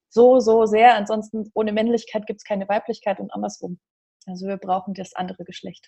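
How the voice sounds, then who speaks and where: Somewhat breathy and medium in pitch, a woman talks at a fairly quick pace with big swings in loudness. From Bavaria, Germany (Regensburg). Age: 30s. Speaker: life coach. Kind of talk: casual interview. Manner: animated.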